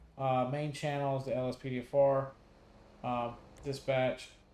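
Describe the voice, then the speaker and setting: A man talks in a fairly high pitch with a Southern US accent. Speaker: gaming YouTuber. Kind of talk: tutorial. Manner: casual, many fillers.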